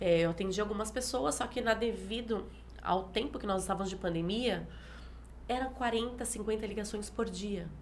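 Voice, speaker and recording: Audible room echo surrounds a woman of medium pitch who speaks at a moderate pace with ordinary pitch variation. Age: 40s. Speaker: pastor. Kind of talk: interview. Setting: live stream.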